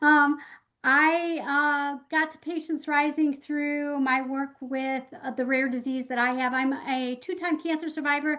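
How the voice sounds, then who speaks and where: Against a quiet background, a woman with a Midwestern accent projects a raised, high voice with a bright, sharp tone, speaking fairly slowly with flat, monotone intonation. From US Midwest, Michigan. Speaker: patient advocate. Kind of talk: virtual town hall talk.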